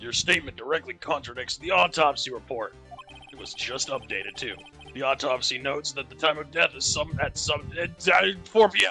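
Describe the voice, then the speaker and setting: A man puts on a raspy character voice at a fairly high pitch, talking at a fairly quick pace over clear music in the background. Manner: dramatic, accusatory.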